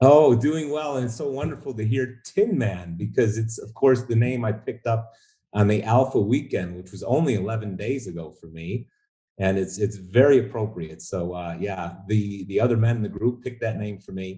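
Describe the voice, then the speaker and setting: A man's medium-pitched, somewhat breathy voice, dark and mellow in tone, with ordinary pitch variation, a moderate pace and big swings in loudness. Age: 60s. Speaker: coaching program client. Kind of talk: interview. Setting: call. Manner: halting.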